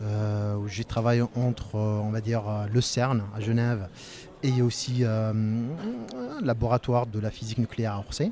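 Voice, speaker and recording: A man speaks at a medium pitch in a dark, mellow tone. His delivery is fairly slow, with monotone, flat intonation. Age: 30s. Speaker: sales engineer. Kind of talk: interview. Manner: halting.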